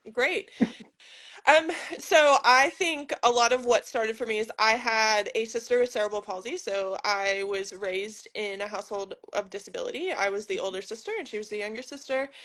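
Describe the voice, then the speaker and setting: An unremarkable speaking voice from a woman with an American accent, fairly high in pitch, with lively intonation over a quiet background. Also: moderate pace. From United States. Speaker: physiotherapist. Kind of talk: casual interview.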